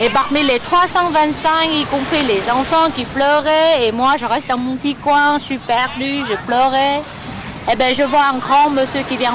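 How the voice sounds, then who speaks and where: A woman speaks at a moderate pace with a high pitch and ordinary pitch variation. Noticeable background noise runs underneath. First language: Vietnamese (speaking French). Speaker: former refugee. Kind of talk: testimony. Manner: halting.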